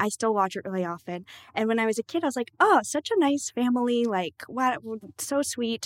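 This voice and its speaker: A woman with an ordinary speaking voice talks at a fairly quick pace and fairly high pitch, her intonation lively, the sound dry and close with no echo. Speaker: podcast co-host. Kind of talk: casual chat. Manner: giggly.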